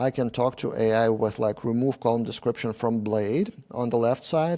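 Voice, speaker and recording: A man with a non-native accent speaks in a dark, mellow tone at a moderate pace. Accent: non-native English speaker. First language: not English. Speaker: software developer and tech YouTuber. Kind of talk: conference talk. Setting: meetup presentation with audience. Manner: hesitant, with many filler sounds.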